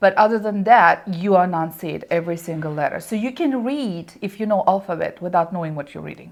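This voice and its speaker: A woman with a Russian accent, medium pitch and ordinary pitch variation, fairly quick pace with hardly any pauses, and big swings in loudness. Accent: Russian accent, lasting. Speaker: small business owner. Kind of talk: interview. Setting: studio.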